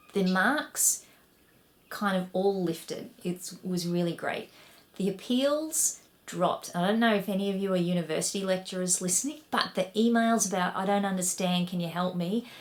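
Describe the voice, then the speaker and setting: In a strong Australian accent, a woman speaks at a moderate pace with ordinary pitch variation, with audible room echo. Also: medium pitch for a woman. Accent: broad Australian. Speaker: education researcher and academic. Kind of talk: recorded conference talk. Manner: animated.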